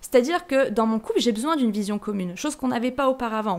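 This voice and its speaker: Animated in tone, a woman talks at a very fast pace with a fairly high pitch and ordinary pitch variation. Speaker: podcaster. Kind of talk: personal reflection monologue.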